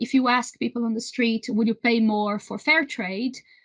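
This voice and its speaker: This woman has a Brazilian accent and a high pitch. She talks at a moderate pace with fairly even intonation. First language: Portuguese. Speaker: renewable energy trade association executive. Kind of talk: interview. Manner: halting, many repetitions.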